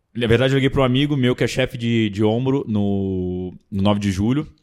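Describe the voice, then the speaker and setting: In a Carioca accent, a man talks at a medium pitch with ordinary pitch variation. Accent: carioca-tinged, strong S. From Brasília, Brazil. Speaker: triathlon website owner. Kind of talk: casual chat.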